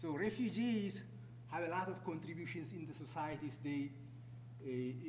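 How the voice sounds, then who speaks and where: A man talks at a moderate pace in a fairly high pitch with ordinary pitch variation, noticeable background noise behind him. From Ethiopia. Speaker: refugee program manager. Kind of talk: public talk. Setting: stage with audience.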